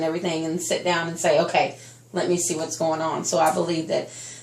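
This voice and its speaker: Against noticeable background noise and audible room echo, a woman talks at a fairly quick pace. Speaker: teacher, job interviewee. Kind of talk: mock job interview. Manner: loud.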